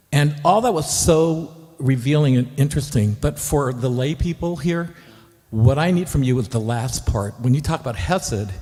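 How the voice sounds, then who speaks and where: A man's fairly high voice has a dark, mellow tone and a somewhat breathy quality, moving at a moderate pace. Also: ordinary pitch variation. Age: 60s. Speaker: audience member asking a question. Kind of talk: Q&A question. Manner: halting.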